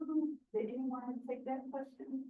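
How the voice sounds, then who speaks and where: Audible room echo surrounds a woman with an American accent who speaks at a high pitch and a very slow pace. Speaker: writing center instructor. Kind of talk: classroom workshop. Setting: classroom with students. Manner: interactive, encouraging.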